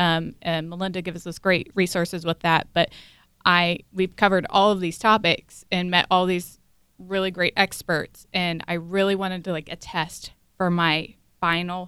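A woman's fairly low, bright and sharp voice, flat and monotone, with an American accent. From southern Ohio.

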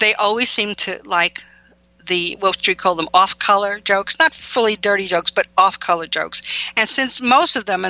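The voice reads in an unforced way. Its pitch varies in an ordinary manner.

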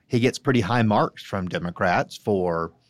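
In a normal speaking voice, a fairly low-pitched man talks at a moderate pace with lively intonation, the sound dry and close with no echo on a very clean recording with a silent background. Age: 40s. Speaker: Republican political strategist. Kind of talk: political roundtable discussion.

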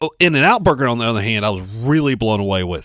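A man's voice with vocal fry and an American accent, dry and close with no echo, in a very clean recording with a silent background. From Spartanburg, South Carolina. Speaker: radio co-host. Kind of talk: casual chat. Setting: radio studio.

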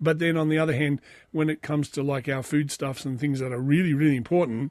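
This man has an Australian accent and a fairly high pitch, talking at a fairly quick pace. His intonation stays fairly even over a quiet background. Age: 40s. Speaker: podcast host. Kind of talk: solo monologue reading and commenting on news.

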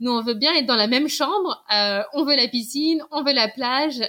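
A woman with ordinary pitch variation. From Paris. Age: 30s. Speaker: podcast guest, mother who relocated. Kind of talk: interview testimony. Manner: hesitant with fillers.

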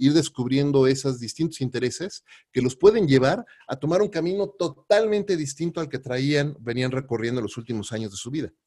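With a dark, mellow tone and lively intonation, a man at medium pitch talks in a dry, close sound with no echo. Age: 40s. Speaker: podcast host. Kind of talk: interview.

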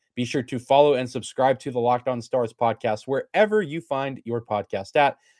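In a very clean recording with a silent background and a dry, close sound with no echo, a man with an ordinary speaking voice and medium pitch talks at a fairly quick pace with ordinary pitch variation and hardly any pauses. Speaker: sports podcast host. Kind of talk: solo podcast commentary.

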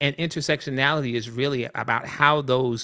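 A man with a bright, sharp tone speaks in an American accent. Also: quiet background. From US South, Columbia, South Carolina. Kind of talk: casual interview.

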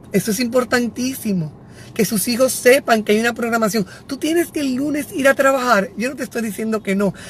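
A woman's voice pitched high, with noticeable noise behind it. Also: ordinary pitch variation. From Dominican Republic, Santiago. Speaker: educator and psycho-pedagogical consultant. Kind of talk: live stream talk to parents. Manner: animated.

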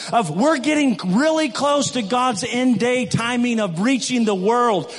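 Amid noticeable background noise and audible room echo, a man with an American accent speaks at an extremely high pitch with ordinary variation. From West Michigan, US. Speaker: missionary. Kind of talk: sermon. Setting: church.

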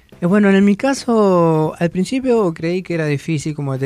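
His pitch moves in an ordinary way. The man speaks at a fairly quick pace. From Argentina, southern Buenos Aires province. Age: young. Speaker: singer. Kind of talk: radio interview. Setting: studio. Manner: halting.

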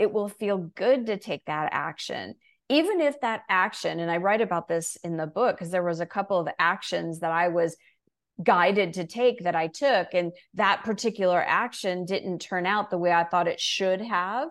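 An unremarkable speaking voice belongs to a woman of medium pitch, with ordinary pitch variation. She talks at a moderate pace in a very clean recording with a silent background. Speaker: coach and author. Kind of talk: interview, coaching talk.

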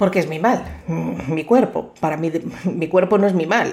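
Ordinary pitch variation accompanies a dark, mellow tone in this voice. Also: woman. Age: 50s. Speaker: psychologist and podcast host. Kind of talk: motivational monologue.

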